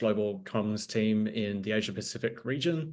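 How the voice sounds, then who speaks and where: Over a quiet background, a man with an Australian accent talks at a medium pitch. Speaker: board candidate, nonprofit communications director. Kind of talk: candidate introduction on a video call. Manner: many filler ums.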